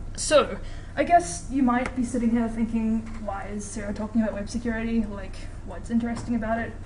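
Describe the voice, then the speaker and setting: Talking at a very fast pace in a New Zealand accent, a woman uses a high pitch with ordinary pitch variation, amid noticeable background noise and audible room echo. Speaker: student lecturer teaching hacking course. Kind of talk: lecture. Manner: casual, filler-heavy.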